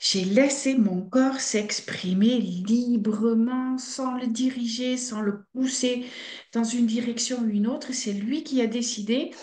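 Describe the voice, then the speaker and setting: Very slow, fairly high-pitched female speech with fairly even intonation, audible room echo and noticeable background noise. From Belgium (Flemish) and Netherlands. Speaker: fasting centre director. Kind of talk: interview.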